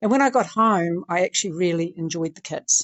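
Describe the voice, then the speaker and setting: At a fairly quick pace, a woman with a medium pitch talks in an unremarkable speaking voice. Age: 60s. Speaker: interview guest, older athlete. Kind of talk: casual interview.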